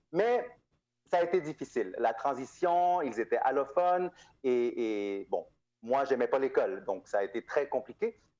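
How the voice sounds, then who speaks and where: A man speaks fairly slowly with a dark, mellow tone. His pitch is fairly high and swings very widely. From Montreal, Quebec (born in Guatemala). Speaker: nonprofit founder. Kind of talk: interview.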